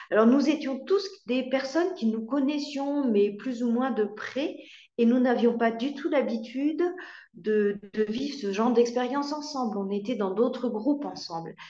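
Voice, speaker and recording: In a room with audible echo, a woman speaks fairly slowly in a high voice with a dark, mellow tone and ordinary pitch variation. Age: 60s. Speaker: marriage and family counselor. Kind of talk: testimony. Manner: hesitant, with fillers and repetitions.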